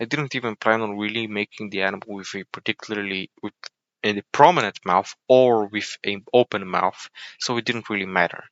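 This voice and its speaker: A man's fairly low voice in a Bulgarian accent, with fairly even intonation. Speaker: YouTube video creator, 3D modeler. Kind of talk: unscripted tutorial-style narration over time lapse. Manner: mumbling, rambling explanation.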